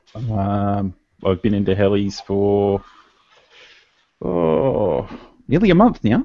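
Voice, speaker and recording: Speaking very slowly in an Australian accent, a man with a dark, mellow tone and fairly low pitch uses ordinary pitch variation and takes long, frequent pauses. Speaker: hobbyist heli pilot. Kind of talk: casual chat.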